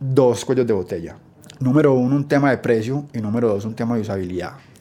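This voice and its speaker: Talking at a very fast pace, a man with a medium pitch and a dark, mellow tone shows ordinary pitch variation. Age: 30s. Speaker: startup founder and CEO. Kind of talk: interview storytelling.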